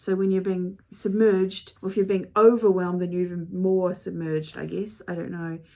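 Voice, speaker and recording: Speaking with a New Zealand accent, a woman has a dark, mellow tone at a medium pitch. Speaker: author and video blogger. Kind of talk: casual chat to camera. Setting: home studio. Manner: chatty, with fillers and self-corrections.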